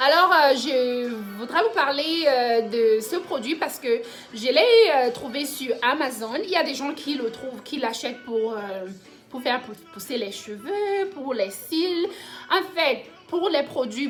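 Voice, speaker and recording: A woman with a non-native accent, high-pitched, lively intonation, very slow pace, noticeable background noise. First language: English (speaking French). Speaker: vlogger. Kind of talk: product review tutorial. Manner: halting, many hesitations.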